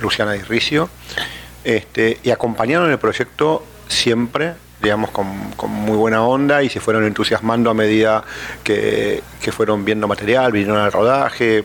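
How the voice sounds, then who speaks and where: Noticeable background noise around a man at medium pitch, moderate in pace and ordinary in pitch variation. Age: 50s. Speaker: film producer. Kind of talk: interview. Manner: halting, many fillers.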